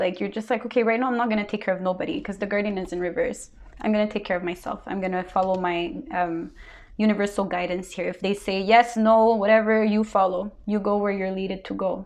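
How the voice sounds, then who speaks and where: Over a quiet background, a woman with a strong non-native accent talks very fast at a medium pitch with fairly even intonation. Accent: big foreign. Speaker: tarot reader. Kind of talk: tarot reading monologue. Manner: casual with many fillers.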